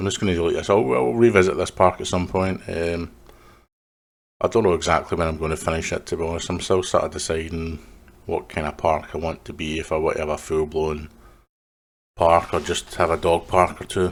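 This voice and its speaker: Words come at a fairly quick pace. They are spoken with a Scottish accent. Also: man, very deep, low pitch for a man. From west of Scotland. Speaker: gaming video creator. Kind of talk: gameplay commentary. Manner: casual, halting with fillers.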